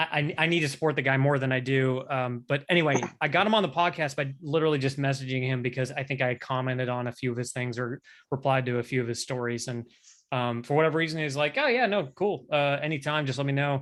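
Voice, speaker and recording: Very fast and fairly high in pitch, a man talks with fairly even intonation. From Canada. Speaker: fitness business owner and podcaster. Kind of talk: casual chat. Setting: video call. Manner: halting, many restarts and fillers.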